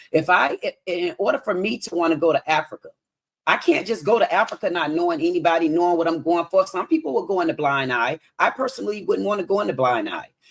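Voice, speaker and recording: A woman with a fairly low pitch, a very fast pace, an animated tone and lively intonation. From US. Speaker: caller on live debate stream. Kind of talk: heated debate.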